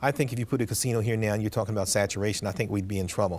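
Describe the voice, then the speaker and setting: A man speaks with a fairly low pitch. His intonation is fairly even. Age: 60s. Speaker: city mayor. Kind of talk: interview. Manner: halting, repeats words.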